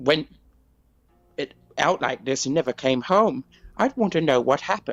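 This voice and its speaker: This man talks at a moderate pace with vocal fry. His fairly high pitch swings very widely. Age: 60s. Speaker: caller leaving voice message. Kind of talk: recorded voice message. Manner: halting.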